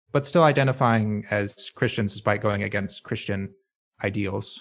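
An ordinary speaking voice: a man with a fairly low pitch and ordinary pitch variation speaks at a moderate pace on a very clean recording with a silent background. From US South, rural North Carolina. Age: 20s. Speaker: IT professional and musician. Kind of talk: casual interview chat.

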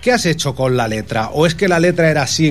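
Lively intonation marks this man's speech at a very fast pace. There is noticeable background noise. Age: 40s. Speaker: radio host. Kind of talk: casual chat. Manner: animated.

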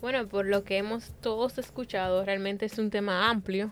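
With music in the background, a woman speaks at a moderate pace in a medium pitch, her intonation monotone and flat. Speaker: podcast host. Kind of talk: panel discussion.

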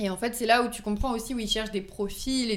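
At a moderate pace, a woman speaks with fairly even intonation in a space with audible room echo. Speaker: volunteer firefighter and amateur pastry baker. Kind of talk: casual chat.

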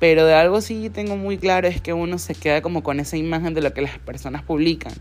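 Her pitch very deep and low, a woman speaks with a Venezuelan accent. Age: 30s. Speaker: solo podcaster. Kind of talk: casual monologue.

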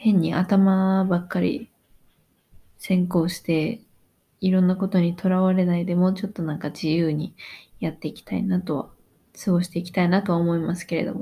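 The tone is dark and mellow, the pace moderate, with long, frequent pauses and fairly even intonation. The recording is very clean, with a silent background. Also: woman, medium pitch for a woman. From Japan. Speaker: podcaster on working holiday, cafe worker. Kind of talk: casual solo monologue. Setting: home at night. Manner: loud.

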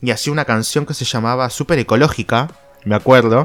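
An animated voice in a Rioplatense accent comes through over noticeable background noise. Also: man. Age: 30s. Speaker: podcast host. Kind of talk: casual solo monologue.

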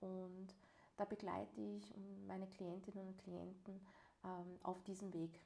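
A woman's monotone, flat speech at a very slow pace, with long, frequent pauses. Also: medium pitch for a woman. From Vienna, Austria. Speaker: life and social counsellor, podcast co-host. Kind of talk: casual conversation. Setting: shared practice office.

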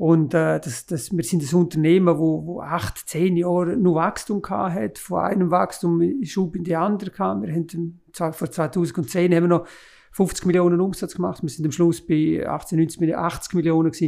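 Heard on a very clean recording with a silent background, a man with a high pitch and a dark, mellow tone speaks at a moderate pace with hardly any pauses and ordinary pitch variation. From Graubünden, Switzerland. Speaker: mountain railway executive. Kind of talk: podcast interview. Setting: office, around a desk.

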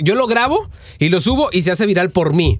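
A man's high-pitched voice sounds animated as he speaks at a moderate pace. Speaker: radio host. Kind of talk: casual chat.

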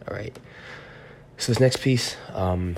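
A man speaks with a very deep, low pitch and ordinary pitch variation. Noticeable background noise can be heard. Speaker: poet and podcast host. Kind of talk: casual monologue; poetry reading. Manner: hesitant, many fillers.

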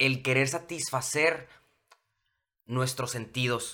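A bright, sharp tone with a Mexican accent. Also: man. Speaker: television presenter. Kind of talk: casual chat.

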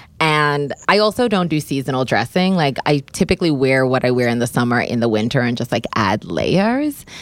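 A woman's very deep, low voice with very wide pitch swings at a moderate pace, hardly any pauses, in a dry, close, very clean recording with no echo and a silent background. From Bermuda. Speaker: stylist and costume designer. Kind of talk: casual chat. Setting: studio.

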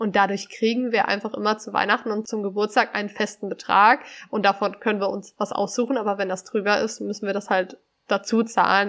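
Over a quiet background, a woman talks at a moderate pace. Her intonation is monotone and flat. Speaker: podcast co-host. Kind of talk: casual chat. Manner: articulate, presentational.

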